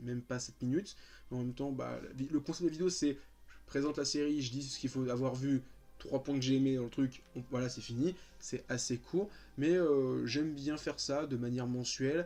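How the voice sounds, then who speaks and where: Music plays behind a man speaking at a fairly quick pace. His pitch is medium and his intonation fairly even. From France, Paris region (Val-de-Marne). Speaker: YouTuber. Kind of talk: casual chat. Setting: sitting on his bed at home. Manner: calm; hesitant, many fillers.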